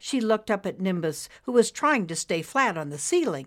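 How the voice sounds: What comes through is a natural reading voice.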